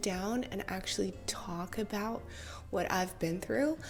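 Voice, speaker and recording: A woman with a medium pitch talks at a fairly slow pace with ordinary pitch variation. Noticeable background noise is present. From Russia. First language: Russian. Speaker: vlogger, actress. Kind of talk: casual storytelling vlog.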